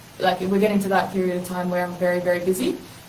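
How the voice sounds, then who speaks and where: With an Australian accent, a woman speaks in a monotone, flat way at medium pitch, amid noticeable background noise and audible room echo. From South Australia, Adelaide. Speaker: university language student and community radio worker. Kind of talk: interview conversation.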